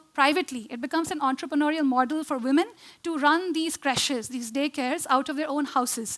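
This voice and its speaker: A woman talks fairly quickly at a high pitch. Her pitch varies in an ordinary way. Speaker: architect and social design founder. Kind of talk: conference talk. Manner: fast; hesitant with many fillers.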